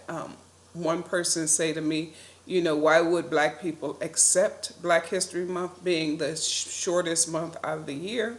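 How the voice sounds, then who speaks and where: Over noticeable background noise, a woman with an American accent speaks at a moderate pace in a fairly low pitch. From US Midwest, Detroit. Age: 60s. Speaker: vlogger. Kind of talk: personal reflection monologue. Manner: casual, with frequent fillers.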